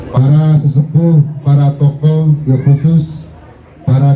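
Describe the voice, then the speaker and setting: A man speaks at a fairly high pitch. Noticeable background noise and audible room echo come through. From Banten, Indonesia. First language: Sundanese (speaking Indonesian). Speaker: Islamic preacher. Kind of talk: sermon.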